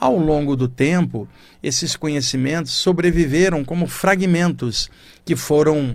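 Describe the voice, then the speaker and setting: Recorded very cleanly against a silent background, a man with an ordinary speaking voice talks at a fairly slow pace, his pitch fairly high with ordinary variation. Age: 60s. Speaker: radio host, spiritualist teacher. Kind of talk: spiritual talk on radio. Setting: radio studio. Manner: conversational.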